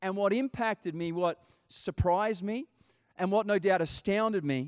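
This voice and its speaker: Speaking at a moderate pace in an Australian accent, a man with a high voice sounds animated, his pitch varying in an ordinary way, on a very clean, dry, close recording with no echo and a silent background. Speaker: pastor. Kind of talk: sermon. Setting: church.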